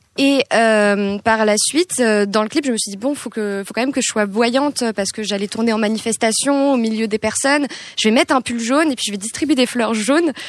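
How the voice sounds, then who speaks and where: The speech moves at a fairly quick pace with hardly any pauses and ordinary pitch variation. Noticeable background noise runs underneath. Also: woman, fairly high pitch for a woman. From France, Île-de-France (Hauts-de-Seine). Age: 20s. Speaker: singer-songwriter. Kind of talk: casual chat.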